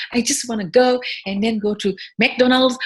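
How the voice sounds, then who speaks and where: At a moderate pace, this woman talks in a somewhat breathy voice with ordinary pitch variation. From Senegal (Dakar). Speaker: food entrepreneur. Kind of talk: interview conversation. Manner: halting, many repetitions.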